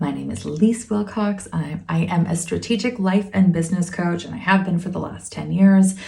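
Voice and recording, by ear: A woman's fairly low pitch with a dark, mellow tone, a calm, soothing tone, vocal fry, ordinary pitch variation and a moderate pace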